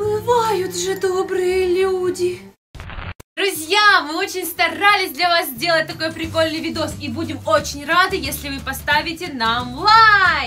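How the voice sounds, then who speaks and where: A woman speaks in a raised, projected voice at a very slow pace. Clear music plays in the background. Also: ordinary pitch variation. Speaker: family vlogger. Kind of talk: casual vlog chat. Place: home room. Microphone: phone near.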